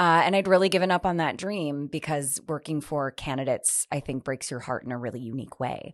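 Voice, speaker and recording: Against a quiet background, a woman with a slight Midwestern accent and a very deep, low pitch talks at a fairly quick pace with hardly any pauses and ordinary pitch variation. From US Midwest, Wisconsin. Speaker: election reform organizer. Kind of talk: interview.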